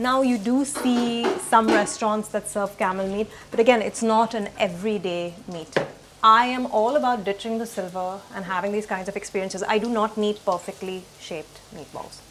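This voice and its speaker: A woman speaks at a moderate pace with a fairly high pitch and fairly even intonation. Her loudness swings widely, and background noise is noticeable. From South India. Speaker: travel and food vlogger. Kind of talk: casual interview and narration.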